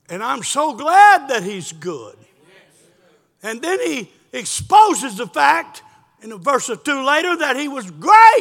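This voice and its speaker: Extremely high male voice at a fairly slow pace, with very wide pitch swings, big swings in loudness and long, frequent pauses. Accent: Southern US. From South Carolina. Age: 70s. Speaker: pastor. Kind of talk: sermon. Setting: church.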